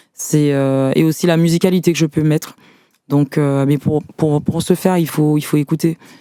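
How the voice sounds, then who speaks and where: Her voice is very deep and low with a dark, mellow tone, flat and monotone, held at very even loudness and a moderate pace in a dry, close sound with no echo. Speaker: singer and executive assistant. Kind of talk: casual interview. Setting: studio. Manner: hesitant, many fillers.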